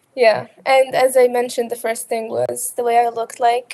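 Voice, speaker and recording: She speaks with a slight Arabic accent. The woman keeps a moderate pace. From Qatar. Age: 20s. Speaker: college student. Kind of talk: interview. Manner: halting.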